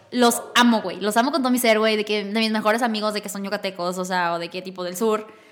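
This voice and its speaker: An animated voice rushes along at a very fast pace with hardly any pauses, over noticeable background noise. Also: woman, fairly high pitch for a woman. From northern Mexico, Torreón. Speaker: podcast host. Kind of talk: casual chat.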